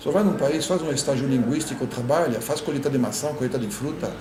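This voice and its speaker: A man with a French accent talks very fast at a fairly high pitch, his pitch moving by ordinary amounts. There is noticeable background noise and audible echo from the room. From France. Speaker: immigrant professional. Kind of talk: interview. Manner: halting.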